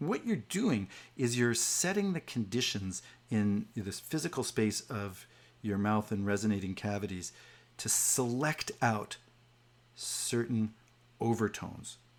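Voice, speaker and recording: A man with a medium pitch speaks at a fairly slow pace with ordinary pitch variation and long, frequent pauses. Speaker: music professor. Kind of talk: online lecture.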